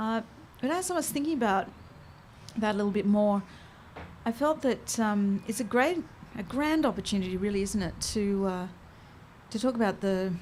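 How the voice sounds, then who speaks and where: A woman speaks in an Australian accent at a moderate pace, with ordinary pitch variation. Her voice is somewhat breathy, and she leaves long, frequent pauses. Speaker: host. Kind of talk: public conversation. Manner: halting.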